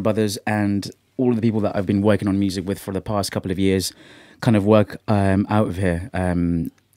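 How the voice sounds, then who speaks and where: Fairly low and dark, mellow in tone, a man speaks with a British accent at a moderate pace. His intonation is fairly even, and the sound is dry and close with no echo. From Caribbean, then England. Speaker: musician and podcast host. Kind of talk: casual chat. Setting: studio.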